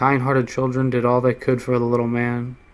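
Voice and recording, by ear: The text is read aloud. The reading voice is natural.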